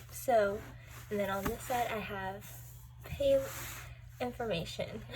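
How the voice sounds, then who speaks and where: A woman at a fairly slow pace, amid noticeable background noise and audible room echo. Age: 20s. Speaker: budgeting vlogger. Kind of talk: casual tutorial vlog.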